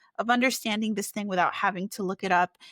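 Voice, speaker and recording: With a Spanish accent, a woman speaks at a fairly high pitch and with fairly even intonation, in a very clean, dry, close recording with no echo and a silent background. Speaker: children's book author. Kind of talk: interview. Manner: halting, many fillers.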